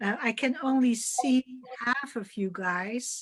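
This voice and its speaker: A woman's fairly high voice with a Dutch accent and ordinary pitch variation. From Netherlands. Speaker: curator moderating artist talk. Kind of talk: moderated panel discussion. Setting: video call.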